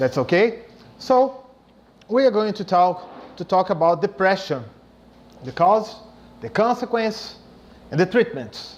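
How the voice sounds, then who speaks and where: This man talks at a fairly slow pace with a Brazilian Portuguese accent, leaving long, frequent pauses. His voice sits high and his intonation is lively. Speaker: spiritist speaker, psychologist. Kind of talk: lecture. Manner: halting.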